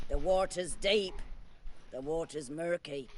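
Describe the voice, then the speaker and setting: A man puts on a gruff character voice, pitched high, at a fairly slow pace. Clear background noise runs behind him. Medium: video game. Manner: gruff, archaic.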